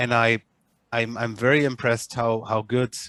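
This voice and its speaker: Here a man with a German accent talks at a moderate pace. The sound is dry with no echo, and the background is quiet. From Germany. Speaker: media analytics company head; user demonstrating software. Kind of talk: online panel discussion. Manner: halting, many repetitions and fillers. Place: home room. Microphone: webcam.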